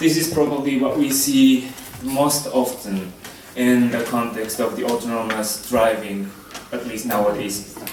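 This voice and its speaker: A man with a medium pitch talks at a fairly slow pace. Audible room echo and noticeable background noise surround his voice. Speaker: lecturer at research center. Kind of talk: lecture. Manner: hesitant, many fillers.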